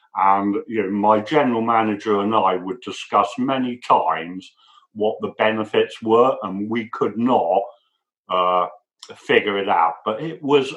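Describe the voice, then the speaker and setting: A man talks at a fairly slow pace. He has an English accent. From England. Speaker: lean manufacturing manager. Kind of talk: interview answer.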